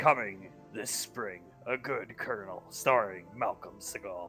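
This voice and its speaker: A man's raspy, fairly low put-on character voice, fairly slow with ordinary pitch variation, over clear background music. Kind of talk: trailer narration. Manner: dramatic, booming.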